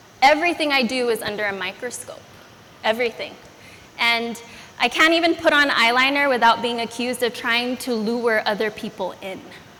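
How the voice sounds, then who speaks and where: A woman with a Californian accent speaks at a high pitch and a fairly quick pace. Noticeable background noise can be heard. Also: ordinary pitch variation. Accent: American (California). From US, Los Angeles (immigrated from Philippines at 5). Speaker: educator and speaker. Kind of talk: personal story talk.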